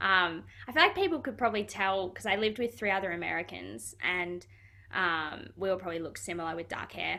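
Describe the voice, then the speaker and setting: Talking at a fairly quick pace with an Australian accent, a woman has a bright, sharp tone, a medium pitch and lively intonation. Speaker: footballer. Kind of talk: interview. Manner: casual, hesitant with fillers.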